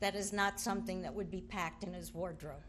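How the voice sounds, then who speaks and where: A woman's voice with audible room echo. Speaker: sister of the deceased giving a eulogy. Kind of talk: eulogy. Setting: funeral at a memorial park. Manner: halting, many ums.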